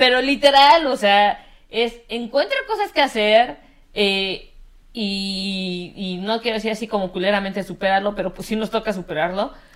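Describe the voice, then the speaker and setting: In a Mexican accent, a woman speaks at a moderate pace with a fairly high pitch. Her tone is animated, with ordinary pitch variation. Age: 30s. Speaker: podcast co-host. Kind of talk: casual chat.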